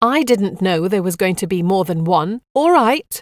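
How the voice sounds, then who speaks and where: A woman puts on a character voice at a medium pitch. She moves at a moderate pace with lively intonation. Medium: read story. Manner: sharp, sarcastic.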